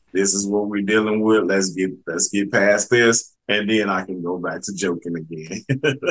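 A man speaks with an ordinary speaking voice at a moderate pace, with hardly any pauses. His pitch is fairly low, with ordinary pitch variation. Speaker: podcast host. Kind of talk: casual interview chat.

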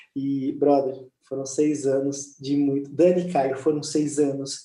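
At a fairly slow pace, a man talks in a fairly high pitch amid audible room echo. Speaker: church leader. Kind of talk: casual chat. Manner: animated.

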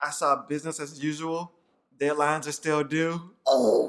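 Speaking fairly slowly, a man uses a fairly high voice. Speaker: podcast co-host, son. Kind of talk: casual chat. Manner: working on a radio voice, varying delivery.

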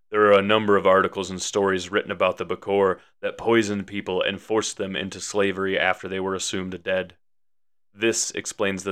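A man speaks at a fairly quick pace in a fairly low, monotone voice with flat intonation, on a very clean recording with a silent background. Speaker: horror storyteller podcaster. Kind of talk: scripted horror storytelling narration. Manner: theatrical, spooky, dramatic.

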